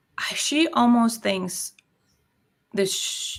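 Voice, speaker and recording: Her intonation lively, a woman talks at a very slow pace. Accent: non-native. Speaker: online business entrepreneur. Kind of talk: casual interview conversation.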